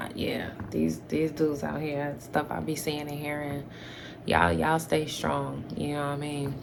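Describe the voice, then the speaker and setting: A woman talks at a moderate pace. Audible room echo and noticeable background noise accompany her. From New York. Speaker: YouTuber. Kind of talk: casual Q&A chat to camera. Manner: hesitant, many fillers.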